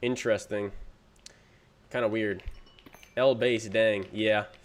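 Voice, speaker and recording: His pitch sits in the middle range for a man. He talks fairly slowly. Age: 20s. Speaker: gaming streamer. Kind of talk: casual live stream chat while gaming. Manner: casual, filler-heavy.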